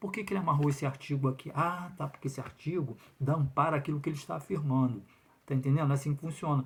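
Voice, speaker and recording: At a very fast pace, a man talks in a somewhat breathy voice. His pitch is fairly high, with ordinary variation. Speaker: lawyer commenting on public exam lawsuit. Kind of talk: video commentary monologue. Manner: hesitant fillers.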